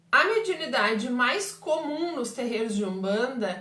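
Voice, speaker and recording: A woman with a high pitch and lively intonation is heard amid audible room echo and noticeable background noise. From southern Brazil, Pelotas, Rio Grande do Sul. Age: 40s. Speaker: umbanda medium and teacher. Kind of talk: live stream Q&A talk. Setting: Facebook live stream.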